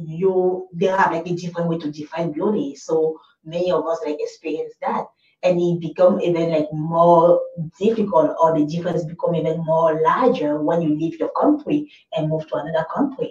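An ordinary speaking voice, its intonation mostly level. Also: woman. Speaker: talk show host. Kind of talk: talk show interview. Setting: studio broadcast.

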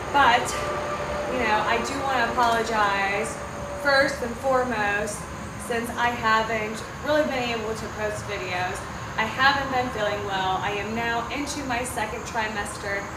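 At a moderate pace, a woman talks through loud background noise. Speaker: vlogger. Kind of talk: casual vlog chat. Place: open country. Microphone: camera far.

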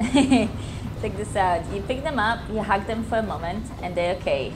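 Noticeable background noise sits under the recording. Over it, a woman speaks in a fairly high pitch. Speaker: gamer. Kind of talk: casual let's play commentary. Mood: cheerful, playful. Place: home room.

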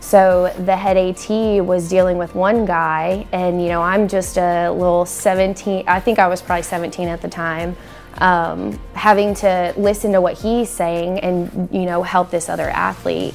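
With faint music in the background, the speech moves at a fairly slow pace in a monotone, flat intonation. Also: woman. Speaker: assistant athletic trainer. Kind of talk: interview answer. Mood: warm, smiling. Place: studio.

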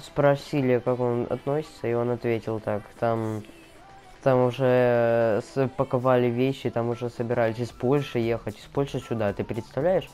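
Music plays in the background. A man talks at a moderate pace in a medium pitch, with fairly even intonation. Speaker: gaming let's player. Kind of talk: casual gaming commentary.

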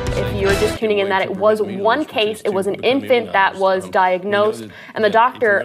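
Noticeable background noise sits behind a woman's voice. Her pitch variation is ordinary. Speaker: TV news anchor and reporter. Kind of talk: TV news anchoring and live reporting. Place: studio. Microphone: lapel.

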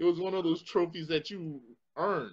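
A man's fairly high-pitched voice moves along at a moderate pace. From Connecticut, US. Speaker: martial arts instructor and show host; martial arts instructor, show host. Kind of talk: casual panel chat. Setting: studio with one co-host, others on video chat. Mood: relaxed storytelling. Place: home room. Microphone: video call.

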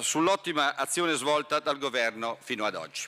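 Speaking at a moderate pace, a man has a bright, sharp tone, a fairly high pitch and ordinary pitch variation. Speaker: member of parliament. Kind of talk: parliamentary oratory, prepared question. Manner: formal, polished, steady. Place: hall. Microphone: podium.

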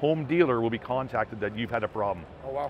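Music plays in the background. The speech comes at a fairly quick pace in a dry sound with no echo. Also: man. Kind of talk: interview answer. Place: hall.

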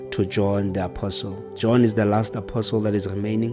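A man's voice with ordinary pitch variation over clear music in the background. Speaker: preacher. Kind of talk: sermon. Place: home room. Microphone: studio mic.

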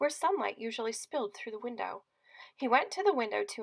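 In a quiet setting, a natural voice reads text aloud, its intonation lively.

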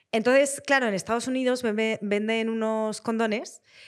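Speech moves at a moderate pace over a quiet background. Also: woman. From US. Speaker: actress and screenwriter. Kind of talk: casual chat. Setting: stage with audience. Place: studio. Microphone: studio mic.

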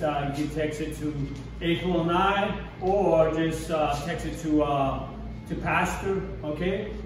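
Amid noticeable background noise and audible room echo, a man speaks in a monotone with flat intonation. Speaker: children's church teacher. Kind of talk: children's sermon / object lesson. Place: classroom. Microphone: camera far.

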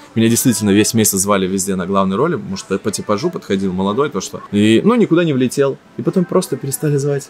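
A man at a very fast pace, his pitch swinging very widely, with light background noise. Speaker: actor and blogger; actor, blogger. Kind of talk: casual interview. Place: cafe. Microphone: studio mic.

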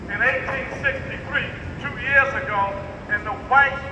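A man speaks at an extremely high pitch. Audible room echo and noticeable background noise surround him. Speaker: speaker. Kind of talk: protest speech. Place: street. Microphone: pa.

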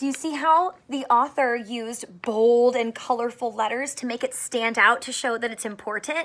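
A woman talks at a moderate pace. Her pitch is fairly high and her tone fairly bright. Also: ordinary pitch variation.

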